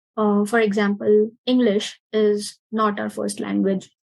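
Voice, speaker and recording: A woman's fairly high, somewhat breathy voice with a dark, mellow tone, fairly even intonation and an Indian accent. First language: Marathi. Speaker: interviewer. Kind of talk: casual interview.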